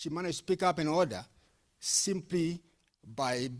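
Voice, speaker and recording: The recording is very clean, with a silent background. A man with a fairly high pitch speaks at a moderate pace with lively intonation. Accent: non-native. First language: not English. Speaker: panelist on youth entrepreneurship. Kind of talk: panel discussion. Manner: halting.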